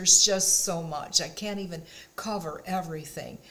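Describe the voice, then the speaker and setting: Against noticeable background noise, the words come out fairly slowly. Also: woman. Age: 70s. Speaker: lifestyle vlogger. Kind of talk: casual talk to camera. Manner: warm, encouraging.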